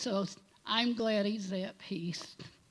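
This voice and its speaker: Her intonation fairly even, a woman talks in a somewhat breathy voice. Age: 70s. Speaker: congregant sharing memories at memorial. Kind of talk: eulogy testimony.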